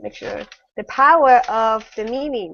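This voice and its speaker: A woman with a non-native accent speaks at a high pitch. Her pace is moderate. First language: not English. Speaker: online panel host. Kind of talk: casual online panel chat. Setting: video call. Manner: halting.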